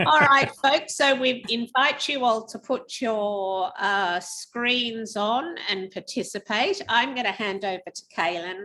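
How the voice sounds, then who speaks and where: Woman with an Australian accent, fairly high pitch and a bright, sharp tone, lively intonation, very slow pace and hardly any pauses. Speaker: webinar host. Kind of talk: webinar introduction.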